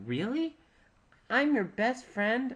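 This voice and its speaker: This is a put-on character voice pitched fairly high. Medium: read story.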